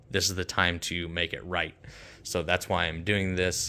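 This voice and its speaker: Over light background noise, a man with a very deep, low voice and a bright, sharp tone talks at a fairly quick pace in a monotone, flat intonation. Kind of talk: tutorial. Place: garage. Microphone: phone near.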